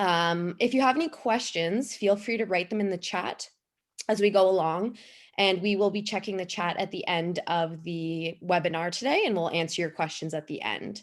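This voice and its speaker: This woman has a medium pitch, ordinary pitch variation and a moderate pace. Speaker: pelvic health physiotherapist. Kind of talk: webinar presentation. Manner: loud.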